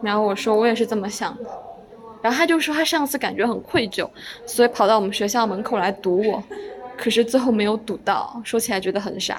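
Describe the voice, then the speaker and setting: Over noticeable background noise, a woman talks fairly quickly at a fairly high pitch with ordinary pitch variation. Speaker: solo podcast host and student. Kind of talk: casual solo monologue. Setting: recorded in a corridor. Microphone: occasional poor sound quality from pausing the recording.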